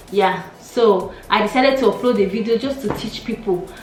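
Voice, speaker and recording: A woman with a Nigerian accent speaks at a fairly quick pace, fairly high in pitch with ordinary pitch variation. Music plays in the background, and there is audible room echo. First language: Nigerian Pidgin. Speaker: YouTuber. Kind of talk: casual vlog chat.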